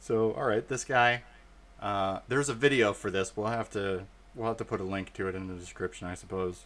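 A man with an American accent and an unremarkable speaking voice talks at a fairly quick pace and fairly low pitch in a very clean recording with a silent background. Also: ordinary pitch variation. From Arizona, then Florida from age nine. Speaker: comedy podcast co-host. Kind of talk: casual comedic chat.

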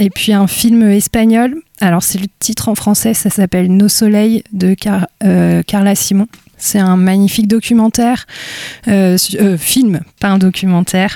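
Speaking at a fairly slow pace, a woman uses fairly even intonation. Her pitch sits in the medium range. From Brittany, Côtes d'Armor. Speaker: photographer. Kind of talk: interview, casual conversation. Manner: reflective, hesitant with fillers.

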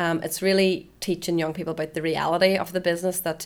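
A woman with a Northern Irish accent speaks at a fairly quick pace. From Northern Ireland. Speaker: festival press officer. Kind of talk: interview.

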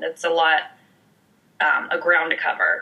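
With an American accent, a woman speaks at a fairly slow pace over noticeable background noise. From US South, Alabama (Montgomery). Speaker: musical theatre actress. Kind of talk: casual interview chat.

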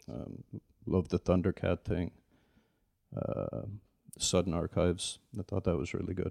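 In a Dublin accent, a man with a very deep, low pitch, vocal fry and a dark, mellow tone speaks at a moderate pace with ordinary pitch variation and long, frequent pauses, in a dry, close sound with no echo. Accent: Dublin Irish. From Dublin, Ireland. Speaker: DJ. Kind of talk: casual chat.

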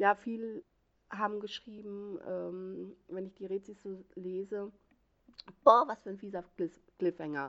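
Very slow and marked by long, frequent pauses, a woman's speech sits at a medium pitch with ordinary pitch variation and big swings in loudness. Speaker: book blogger. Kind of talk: book review monologue. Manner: halting, stumbles over words; animated.

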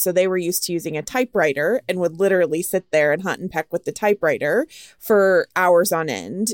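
In a very clean recording with a silent background and a dry, close sound with no echo, a woman uses an ordinary speaking voice with a fairly low pitch and fairly even intonation. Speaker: podcast host. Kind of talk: casual interview chat.

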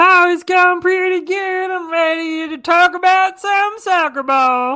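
A woman puts on a character voice in a Southern US accent, pitched extremely high. She talks at a fairly slow pace. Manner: folksy, friendly.

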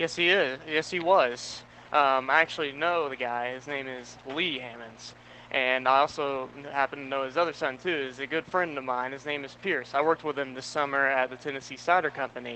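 A man talks at a fairly quick pace in a plain, everyday voice, with fairly even intonation and a fairly high pitch. His loudness swings widely. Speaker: college student intern. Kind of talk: casual pregame chat.

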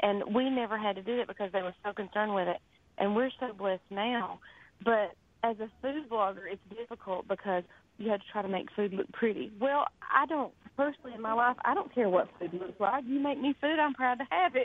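A woman with a Southern US accent, fairly high in pitch, at a fairly quick pace with ordinary pitch variation. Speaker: cookbook author. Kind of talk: radio interview.

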